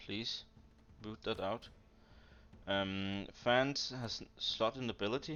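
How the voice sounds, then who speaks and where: A man at a very slow pace, with long, frequent pauses. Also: medium pitch for a man, ordinary pitch variation. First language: Danish. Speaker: strategy game commentator. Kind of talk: casual gameplay analysis chat.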